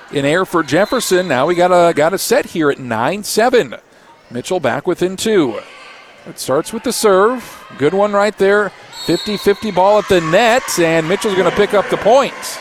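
Over noticeable background noise, a man with a high voice speaks at a fairly slow pace with lively intonation. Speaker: radio sports play-by-play announcer. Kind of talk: live play-by-play commentary. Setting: courtside at a gym, radio broadcast.

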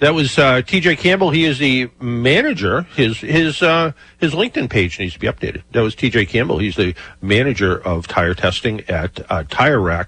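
This man's medium-pitched voice has a bright, sharp tone and vocal fry. He moves at a moderate pace with very wide pitch swings. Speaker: radio host, car expert. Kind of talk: radio call-in show. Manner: casual, filler-heavy.

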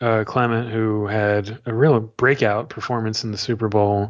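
The man's medium-pitched voice stays monotone, with flat intonation. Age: 30s. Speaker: sports writer and podcast co-host. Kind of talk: casual chat.

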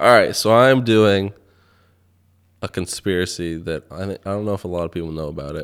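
On a very clean recording with a silent background, a man talks with ordinary pitch variation, big swings in loudness, and long, frequent pauses. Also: fairly quick pace. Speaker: podcast co-host. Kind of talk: casual chat. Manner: soft-spoken.

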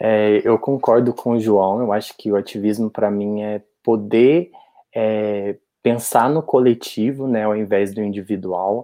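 An unremarkable speaking voice from a man, fairly low-pitched, fairly slow and with fairly even intonation. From Brazil, interior of Minas Gerais. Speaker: HIV youth activist. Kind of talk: casual chat.

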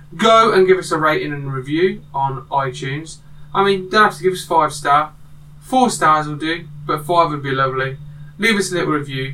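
A man talks at a moderate pace in a fairly high voice. His pitch varies in an ordinary way. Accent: British. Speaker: podcast host. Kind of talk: casual chat.

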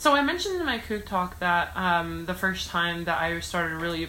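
Heard with audible room echo, a woman with an American accent speaks at a moderate pace. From US. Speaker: student speaker. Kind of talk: casual chat.

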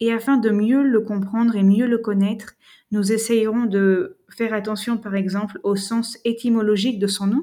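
A woman's fairly high, somewhat breathy voice with a dark, mellow tone, fairly even intonation and a fairly slow pace. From France. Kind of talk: lecture. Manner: formal.

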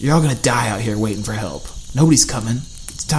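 The reading aloud is done in a natural voice, and the intonation is lively.

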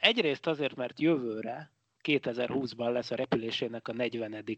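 A man's ordinary speaking voice at a fairly slow pace, with ordinary pitch variation. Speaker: physicist, science podcast co-host. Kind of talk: casual chat. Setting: Skype call.

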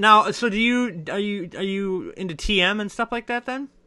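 A man's high, raised and projected voice, bright and sharp in tone and animated, with ordinary pitch variation, a moderate pace and a quiet background. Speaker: podcast host. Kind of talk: casual interview chat. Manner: animated, joking.

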